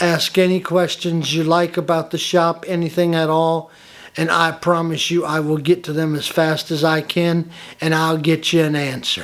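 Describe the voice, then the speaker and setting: At a moderate pace, a man with a high pitch and a Southern US accent speaks in a monotone, flat intonation, in a very clean recording over a silent background. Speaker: woodworking hobbyist YouTuber. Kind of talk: tutorial. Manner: friendly and casual.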